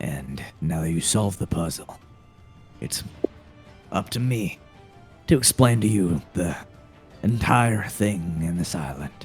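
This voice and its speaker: Over clear music in the background, a man uses a put-on character voice with a very deep, low pitch. His pace is fairly slow, broken by long, frequent pauses. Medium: actual play. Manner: dry, matter-of-fact.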